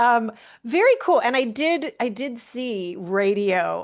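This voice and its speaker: The background is quiet. The intonation is lively. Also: woman. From US Midwest, Milwaukee. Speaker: podcast host, business strategist. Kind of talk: podcast interview. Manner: hesitant, many fillers.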